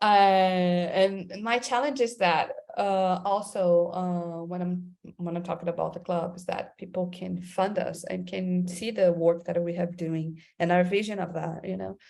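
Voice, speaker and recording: A woman with a Portuguese accent speaks at a fairly slow pace, her fairly low voice dark and mellow, with fairly even intonation. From Brazil, Amazon region. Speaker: creative director. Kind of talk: interview. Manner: halting, many repeated words.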